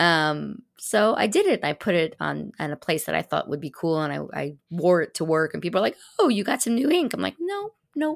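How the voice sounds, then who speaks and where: A woman talks at a fairly quick pace. Her sound is dry and close with no echo, on a very clean recording with a silent background. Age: 50s. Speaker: designer and small business owner. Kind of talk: casual interview. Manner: friendly.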